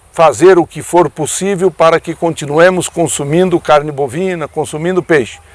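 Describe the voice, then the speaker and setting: The pitch varies in an ordinary way. It is an ordinary speaking voice. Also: man. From Brazil, Paraná state. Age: 60s. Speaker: veterinarian and former politician. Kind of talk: radio commentary.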